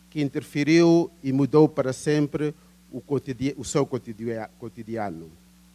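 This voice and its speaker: A man speaks at a fairly high pitch and a fairly slow pace. The sound is dry and close, with no echo. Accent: Angolan. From Angola. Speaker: professor. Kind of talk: academic conference talk. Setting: seminar with audience. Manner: hesitant, many fillers.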